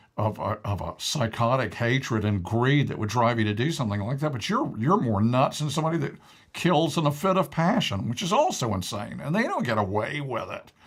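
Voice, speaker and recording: This man speaks at a fairly quick pace with lively intonation and a somewhat breathy voice. The recording is very clean, with a silent background. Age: 60s. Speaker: talk show co-host. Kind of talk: casual discussion. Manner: animated.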